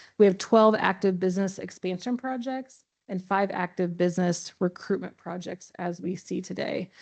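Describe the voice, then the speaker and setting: Over a quiet background, a woman speaks at medium pitch with fairly even intonation and hardly any pauses. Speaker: economic development director. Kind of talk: presentation to city council. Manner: fast.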